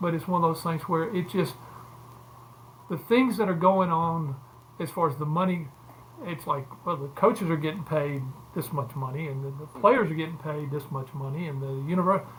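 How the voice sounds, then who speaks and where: Long, frequent pauses break up speech delivered with an Alabama accent. The pace is moderate and the pitch variation ordinary. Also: man. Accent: Southern US (Alabama). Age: 70s. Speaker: former college football player and sports agent. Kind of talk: casual interview. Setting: podcast.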